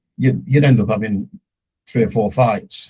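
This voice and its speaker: In a British accent, a man speaks with a dark, mellow tone and ordinary pitch variation. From UK, forces family moving between Germany and UK. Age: 60s. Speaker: son of a veteran. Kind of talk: interview. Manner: halting, many repetitions.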